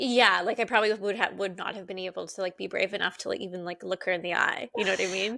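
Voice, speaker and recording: A woman talks at a very fast pace with hardly any pauses, using vocal fry and a bright, sharp tone at medium pitch. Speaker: podcast co-host. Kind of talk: casual chat. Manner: animated, lots of filler 'like'.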